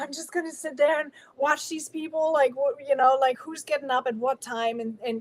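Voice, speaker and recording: Speaking at a fairly quick pace, the woman has a high voice. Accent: German. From Germany. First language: German. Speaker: guest on inspirational talk show. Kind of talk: interview storytelling.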